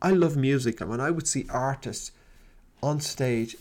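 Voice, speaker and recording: A man with an ordinary speaking voice talks at a fairly slow pace, his pitch fairly high with ordinary pitch variation. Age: 50s. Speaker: podcast host and business coach. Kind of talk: solo motivational talk. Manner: warm, conversational.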